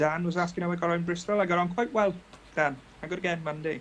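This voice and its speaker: A man speaks with a British accent at a high pitch. His voice is soft-spoken. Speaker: model-building livestream host. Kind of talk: casual live stream chat, reading out viewer comments. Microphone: iPad mic, too quiet.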